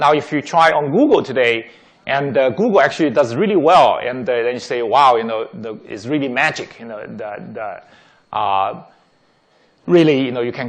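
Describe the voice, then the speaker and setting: With lively intonation, a man speaks at a medium pitch, and the room echo is audible. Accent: non-native. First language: not English. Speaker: tech executive giving a talk. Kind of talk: lecture. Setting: auditorium with audience. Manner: many fillers and repetitions.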